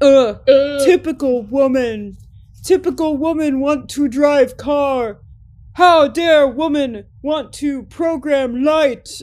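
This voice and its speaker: A woman puts on a character voice, high-pitched with ordinary pitch variation, speaking very slowly. The recording is very clean, with a silent background. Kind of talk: broken, simplified grammar. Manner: mocking, dismissive.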